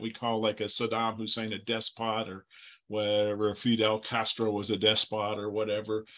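Against a quiet background, a man speaks at a moderate pace with a bright, sharp tone. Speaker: Bible teacher. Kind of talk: lecture. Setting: video call. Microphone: video call.

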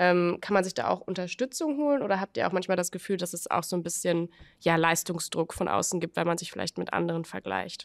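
Against a quiet background, a woman with a normal speaking voice talks fairly quickly, her fairly low pitch showing ordinary variation. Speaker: podcast host. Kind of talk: casual interview. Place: studio. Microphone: studio mic.

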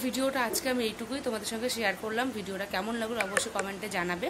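A woman's fairly high voice with audible room echo and noticeable background noise. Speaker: home vlogger. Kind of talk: vlog chat.

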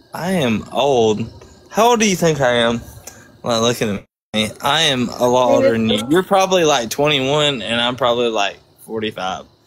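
Lively intonation in a man's unremarkable speaking voice, his pitch sitting in the middle range. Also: moderate pace. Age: 30s. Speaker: gaming streamer on video chat. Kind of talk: casual chat.

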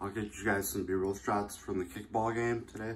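A man's fairly low voice at a fairly slow pace, with ordinary pitch variation and light background noise. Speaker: student vlogger. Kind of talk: casual vlog chat. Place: home room. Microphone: phone near.

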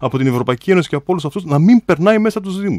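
Against a quiet background, a man talks with lively intonation in a dry sound with no echo. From Greece. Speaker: mayoral candidate. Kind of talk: radio interview. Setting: radio studio. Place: hall. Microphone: podium.

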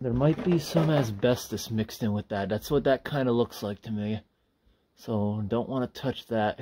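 A man talks at a moderate pace with ordinary pitch variation. Light background noise sits behind him. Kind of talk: casual exploration commentary. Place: train. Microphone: phone near.

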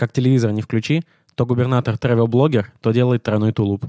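A man with a dark, mellow tone and medium pitch talks at a fairly quick pace with fairly even intonation. The recording is very clean, with a silent background and a dry, close sound with no echo. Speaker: comedy podcast co-host. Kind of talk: improvised comedy banter.

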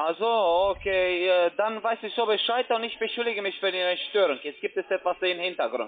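A man with a high voice talks at a fairly quick pace, his pitch varying in an ordinary way.

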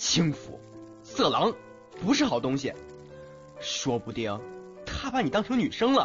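Using a put-on character voice with very wide pitch swings, a man speaks at a fairly slow pace in a fairly bright, fairly high-pitched voice over faint music in the background.

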